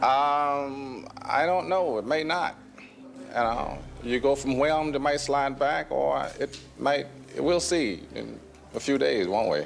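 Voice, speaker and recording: A man with a Southern US accent at a very slow pace, music playing in the background. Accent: Southern American English. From Southern United States. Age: 80s. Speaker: actor. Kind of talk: interview answer. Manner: calm.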